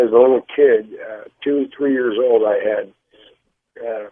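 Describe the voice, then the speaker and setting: The voice belongs to a man. His intonation is monotone and flat. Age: 60s. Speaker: caller. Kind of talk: call-in to radio show. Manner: halting, many fillers.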